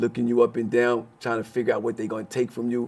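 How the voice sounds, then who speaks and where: A man with an American accent talks at a very fast pace. His pitch sits in the medium range. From Brooklyn, New York. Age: 60s. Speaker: former prisoner. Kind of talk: interview.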